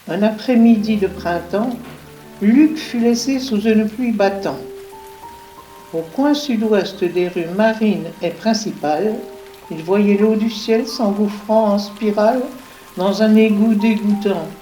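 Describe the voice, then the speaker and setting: Over music in the background, a woman speaks at a very slow pace and a fairly high pitch, with long, frequent pauses. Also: ordinary pitch variation. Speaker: voice-over narrator. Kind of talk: read story.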